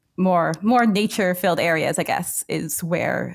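A woman with a Canadian accent and vocal fry, at a moderate pace with ordinary pitch variation. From rural Ontario, Canada, north of Waterloo; Ontario, Canada. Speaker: YouTube urbanism creator. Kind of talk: casual interview. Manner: hesitant, many fillers. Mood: friendly, relaxed. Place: home room. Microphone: headset.

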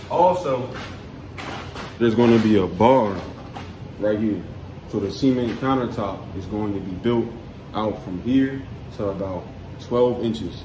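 Amid noticeable background noise, a man speaks at a fairly slow pace with ordinary pitch variation and long, frequent pauses. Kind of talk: casual vlog chat. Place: home room. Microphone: phone near.

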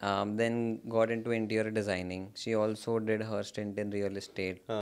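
Fairly low male pitch in a monotone, flat intonation at a moderate pace. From India. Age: young. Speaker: startup founder; guest. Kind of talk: interview. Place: studio. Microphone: studio mic.

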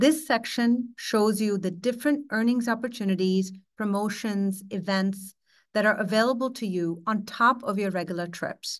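A woman speaks at a moderate pace, the background quiet. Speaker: presenter. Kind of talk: tutorial. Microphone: webcam.

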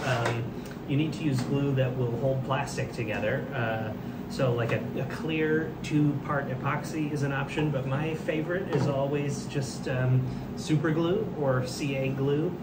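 The speech moves at a fairly slow pace with ordinary pitch variation. Loud background noise sits behind it. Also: man. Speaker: kit maker demonstrating assembly. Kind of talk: tutorial. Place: workshop.

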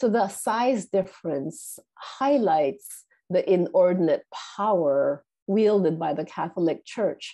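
At a very slow pace, a woman speaks in a dark, mellow tone with lively intonation over a quiet background. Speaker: literature professor. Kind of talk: lecture read from a paper. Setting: video call. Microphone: video call.

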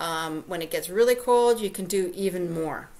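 This is a woman speaking at a moderate pace. Her pitch varies in an ordinary way. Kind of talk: live stream tutorial. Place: home room. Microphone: webcam.

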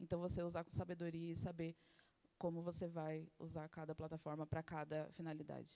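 In a Brazilian accent, a woman talks at a very fast pace with a fairly low pitch, a dark, mellow tone and monotone, flat intonation. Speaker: interpreter; speaker. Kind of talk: live interpretation. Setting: venue with live audience. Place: hall. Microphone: handheld.

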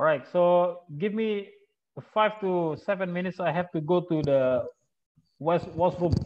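A man speaks at a fairly slow pace with an Indonesian accent, his pitch high and its variation ordinary. Long pauses come often. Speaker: webinar moderator. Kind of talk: webinar moderating. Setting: video call.

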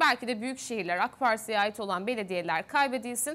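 Her intonation is lively as she talks. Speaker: TV news host; news anchor. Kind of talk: TV political panel moderation. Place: studio. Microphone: lapel.

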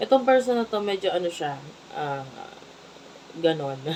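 Background noise is noticeable. The pace is moderate. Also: woman. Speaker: tarot reader. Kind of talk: tarot reading to camera. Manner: kept quiet, not loud.

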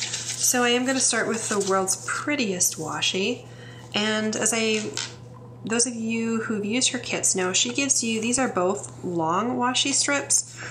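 Light background noise sits behind a woman with an American accent. Her tone is relaxed, her intonation lively, and her pace fairly slow. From US Midwest. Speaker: English professor and planner video creator. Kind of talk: casual tutorial, planner walkthrough; casual tutorial chat. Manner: chatty, relaxed with fillers.

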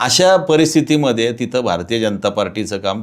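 In a normal speaking voice, a man talks at a medium pitch. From Pune, Maharashtra (east Pune). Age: 50s. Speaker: local politician. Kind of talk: interview.

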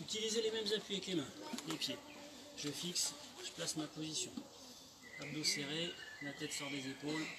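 Loud background noise runs under a man who speaks fairly quickly, his pitch varying in an ordinary way. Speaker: fitness instructor. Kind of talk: exercise class instruction. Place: garden. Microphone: camera far.

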